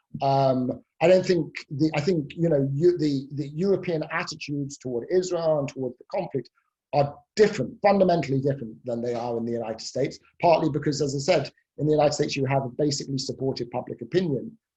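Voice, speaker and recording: The speaker talks at a very fast pace with a British accent. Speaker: professor. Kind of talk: expert Q&A in a webinar. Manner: hesitant, many fillers.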